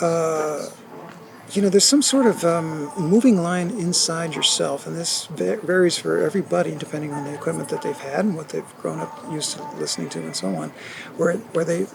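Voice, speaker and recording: There is noticeable background noise in this clip. A man talks at a moderate pace. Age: 60s. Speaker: retired teacher and audiophile. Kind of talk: casual interview. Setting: hi-fi show floor. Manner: halting.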